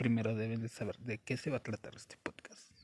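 A man speaks with a Mexico City accent. His voice is somewhat breathy. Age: 20s. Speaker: podcaster. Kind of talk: casual monologue. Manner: halting.

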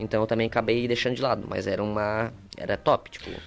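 The speaker is a man with a medium pitch. Behind him, music can be heard. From southern Brazil, Torres / São João do Sul area. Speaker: entrepreneur and content creator. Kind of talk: casual chat.

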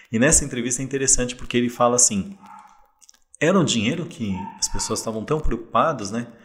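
Using an ordinary speaking voice, a man at medium pitch talks with lively intonation. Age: 40s. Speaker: investor and insurance professional. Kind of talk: casual interview chat.

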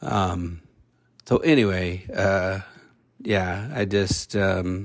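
The speaker is quiet, with fairly even intonation. The recording is very clean, with a silent background. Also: man. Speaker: podcast host. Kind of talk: casual monologue. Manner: quieter to spare throat.

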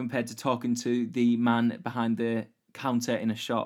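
At a moderate pace, a man speaks at a medium pitch in an ordinary speaking voice. The recording is very clean, with a silent background. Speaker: podcast host. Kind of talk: solo educational podcast monologue.

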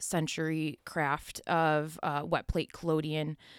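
A woman with a Western New York accent speaks at a fairly low pitch. The sound is dry and close with no echo, on a very clean recording with a silent background. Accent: Western New York (Inland North) American. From US, Buffalo, New York. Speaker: photographer. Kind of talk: casual interview.

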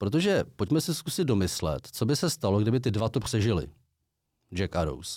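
The voice has a dark, mellow tone, lively intonation and a fairly quick pace. The recording is very clean, with a silent background. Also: man. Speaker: podcast co-host. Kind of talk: casual chat.

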